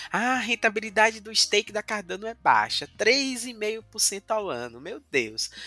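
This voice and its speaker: A man with a high pitch and ordinary pitch variation uses a raised, projected voice with a bright, sharp tone. His loudness swings a lot, and the sound is dry and close with no echo. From Bahia, Brazil (Cachoeira, Recôncavo Baiano). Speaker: blockchain validator pool co-owner and developer. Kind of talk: casual interview. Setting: studio.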